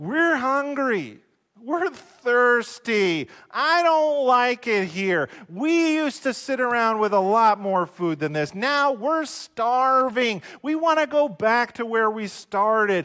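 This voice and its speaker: In a very clean recording with a silent background, a man puts on a whiny character voice at an extremely high pitch, speaking fairly slowly. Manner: whiny, complaining.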